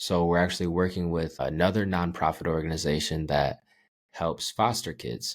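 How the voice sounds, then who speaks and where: A man's very deep, low voice at a fairly quick pace, fairly even in intonation, on a very clean recording with a silent background. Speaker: social media relationship advice creator. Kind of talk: podcast interview. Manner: laid back.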